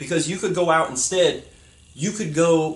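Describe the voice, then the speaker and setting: This man's pitch is high. He speaks at a moderate pace. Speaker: YouTuber. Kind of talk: vlog rant. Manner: loud, yelling; animated. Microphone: poor audio quality.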